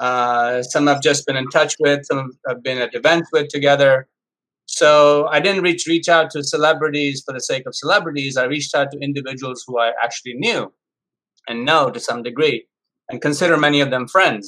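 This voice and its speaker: A man speaks at a moderate pace with a fairly high pitch and ordinary variation. His tone is bright and sharp. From India, Mumbai. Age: 50s. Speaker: chef and math professor. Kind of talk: interview.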